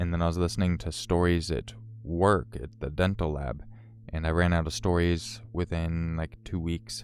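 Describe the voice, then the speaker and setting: On a very clean recording with a silent background, a man with an American accent speaks at a moderate pace in a very deep, low pitch with ordinary pitch variation. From Northern California. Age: 30s. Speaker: story narration YouTuber. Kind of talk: live stream chat. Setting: live stream. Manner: casual, filler-heavy.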